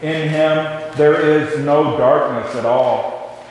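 Strong room echo hangs around a man who speaks at a very slow pace. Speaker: minister leading worship. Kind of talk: liturgy and sermon introduction. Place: church.

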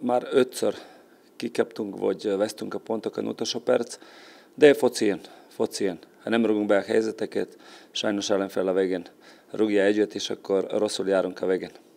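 Long, frequent pauses interrupt talk that otherwise keeps a moderate pace. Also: man. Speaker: football coach. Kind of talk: sports interview. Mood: calm, serious. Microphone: handheld.

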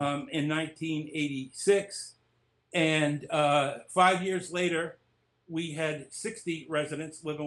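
Speaking at a very slow pace with long, frequent pauses, a man uses a fairly high pitch and fairly even intonation. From Lowell, Massachusetts; Massachusetts. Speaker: author, former special ed teacher; former special ed teacher. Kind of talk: interview. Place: home room. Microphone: webcam.

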